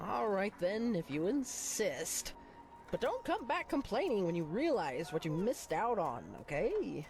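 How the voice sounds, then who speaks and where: Put-on character voice at a fairly high pitch, with clear background noise. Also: moderate pace. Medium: video game. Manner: theatrical, exuberant.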